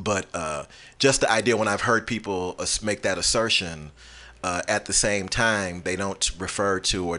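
Over a quiet background, a man with an American accent speaks at a fairly slow pace, his very deep, low pitch carrying a bright, sharp tone. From Chicago. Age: 40s. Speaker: musician and activist. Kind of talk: interview. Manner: halting.

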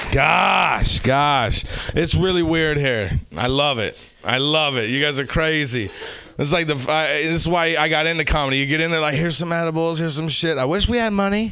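Noticeable background noise sits under a man's fairly high voice. He talks at a moderate pace with ordinary pitch variation and very even loudness. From Sacramento. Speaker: comedian. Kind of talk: stand-up. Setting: stage with audience.

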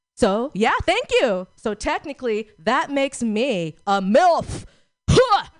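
In an American accent, a woman speaks with a high pitch and very wide pitch swings, the sound dry and close with no echo. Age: 40s. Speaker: stand-up comedian. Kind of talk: stand-up comedy. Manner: warm, chatty, crowd-engaging.

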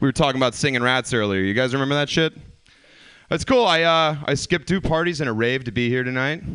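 In an American accent, a man speaks at a very fast pace and a medium pitch. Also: ordinary pitch variation, quiet background. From US South. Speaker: comedian. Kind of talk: stand-up.

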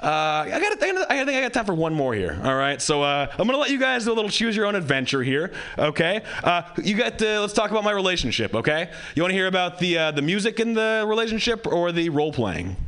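Over noticeable background noise, a high-pitched man talks at a very fast pace with very wide pitch swings. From Hawaii. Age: young. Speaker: comedian. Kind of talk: stand-up. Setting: stage with audience.

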